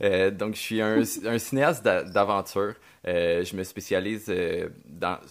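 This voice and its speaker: The recording is very clean with a silent background. A man speaks at a very slow pace, his fairly low pitch showing ordinary variation. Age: 30s. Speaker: podcast host, adventure filmmaker. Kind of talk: casual chat.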